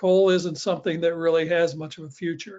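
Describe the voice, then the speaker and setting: The man's voice sits high in pitch. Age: 70s. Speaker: education program developer. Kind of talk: webinar discussion.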